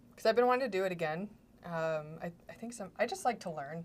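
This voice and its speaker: Her pitch varying in an ordinary way, a woman speaks at a fairly quick pace. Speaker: makeup artist. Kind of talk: casual chat.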